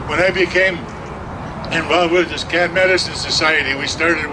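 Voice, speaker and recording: Over noticeable background noise and audible room echo, a man with a high pitch talks at a moderate pace in a monotone, flat intonation. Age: 70s. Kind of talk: testimony.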